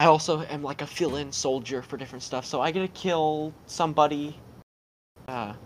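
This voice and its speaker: This man has a plain, everyday voice with a fairly high pitch. He keeps a moderate pace and fairly even intonation. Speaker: guest interviewee. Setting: video call.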